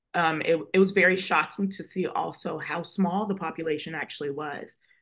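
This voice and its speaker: An unremarkable speaking voice from a woman with an American accent, medium in pitch, moderate in pace, with fairly even intonation. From US South, Atlanta, Georgia. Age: 20s. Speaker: law student and speaker. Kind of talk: radio interview.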